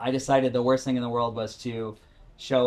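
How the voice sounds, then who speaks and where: The speaker is a man with a medium pitch. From Rochester, New York area, US. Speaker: former Broadway performer, cancer survivor, health coach. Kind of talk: live talk interview before an audience. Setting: outdoor live event with audience. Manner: animated; loud, projected.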